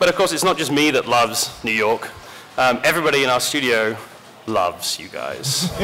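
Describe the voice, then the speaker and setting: A man with an English accent at a medium pitch, fairly quick and lively in intonation, over noticeable background noise. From rural England. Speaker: game studio community director, panel moderator. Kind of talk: convention panel presentation. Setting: stage with audience.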